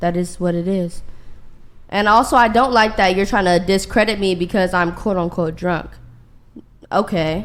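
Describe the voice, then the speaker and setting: A woman speaks at a moderate pace in a medium pitch, with fairly even intonation and long, frequent pauses. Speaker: dating show guest. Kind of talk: heated debate. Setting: studio. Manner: loud.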